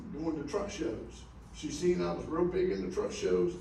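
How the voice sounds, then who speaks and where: The speech comes at a moderate pace. Room echo is audible, and background noise is noticeable. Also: man. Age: 70s. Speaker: truck driver, award honoree. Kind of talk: acceptance speech to an audience of drivers. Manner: halting, repetitive.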